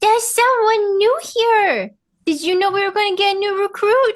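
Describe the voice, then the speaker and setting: A put-on character voice that sounds female, extremely high and squeaky, comes across bubbly and enthusiastic at a moderate pace. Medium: actual play. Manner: bubbly, enthusiastic.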